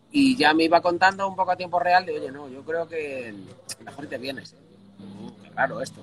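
A man talks at a high pitch and a moderate pace, with very wide pitch swings and big swings in loudness. Noticeable background noise sits behind him. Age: young. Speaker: guitarist and music industry consultant. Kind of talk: casual interview chat.

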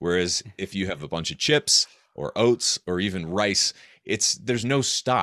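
In an American accent, a man with an ordinary speaking voice talks at a fairly slow pace and fairly low pitch, his intonation lively, on a very clean, dry, close recording with no echo and a silent background. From US Northeast, rural New Hampshire. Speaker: author and health podcaster. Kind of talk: interview.

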